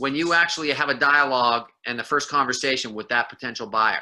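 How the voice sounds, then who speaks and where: This man's voice sits fairly high, with a bright, sharp tone and lively intonation. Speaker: sales trainer. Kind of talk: training seminar. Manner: fast.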